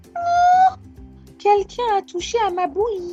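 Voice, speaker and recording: Over clear background music, a woman uses a put-on, squeaky character voice at an extremely high pitch, talking at a fairly slow pace. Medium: read story.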